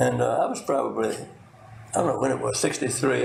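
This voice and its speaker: Noticeable background noise and audible room reverb around a male speaker. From US South. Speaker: retired pharmacist and former state delegate. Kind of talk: oral history interview. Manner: halting, frequent repetitions and fillers.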